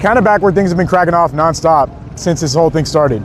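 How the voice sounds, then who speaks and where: Noticeable background noise sits behind a man's fairly high voice. He speaks at a fairly quick pace with ordinary pitch variation. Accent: American. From US, Southern parents (Arkansas, Louisiana). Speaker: live streamer. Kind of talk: live street reporting stream. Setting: outdoors on street at night. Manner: fast; casual, chatty.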